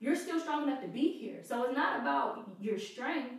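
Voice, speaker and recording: A woman with a high voice speaks at a moderate pace over noticeable background noise. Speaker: guest sharing mental health experience. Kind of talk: personal testimony in casual chat.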